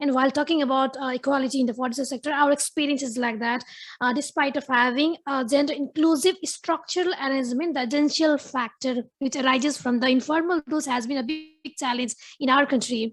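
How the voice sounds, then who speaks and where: Over a quiet background, a woman talks at a very fast pace with a high pitch and fairly even intonation. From Nepal. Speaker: forestry official, audience questioner. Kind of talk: audience question at panel. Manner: halting.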